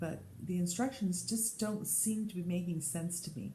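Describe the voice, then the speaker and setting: In an American accent, a woman speaks at a fairly slow pace, somewhat breathy and dark and mellow in tone, with ordinary pitch variation and audible room echo. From Colorado. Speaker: podcast host. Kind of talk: casual chat.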